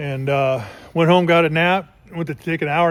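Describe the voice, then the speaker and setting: This man talks in a relaxed tone with ordinary pitch variation. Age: 60s. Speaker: car hobbyist YouTuber. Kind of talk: casual vlog narration. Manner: relaxed, halting with fillers.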